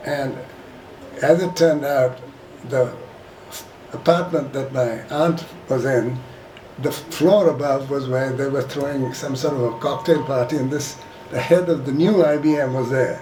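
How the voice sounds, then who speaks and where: The speech is broken by long, frequent pauses. Audible room echo and noticeable background noise fill the recording. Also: man, fairly high pitch for a man, fairly even intonation, moderate pace. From India. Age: 80s+. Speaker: retired businessman sharing family history. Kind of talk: casual reminiscing talk to a group. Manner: halting.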